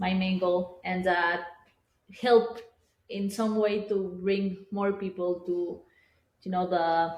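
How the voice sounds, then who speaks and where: A woman with a non-native accent at medium pitch, very slow and monotone with flat intonation and long, frequent pauses. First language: not English. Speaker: digital artist. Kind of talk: casual interview. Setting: artist's studio with small live audience. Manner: halting, many fillers.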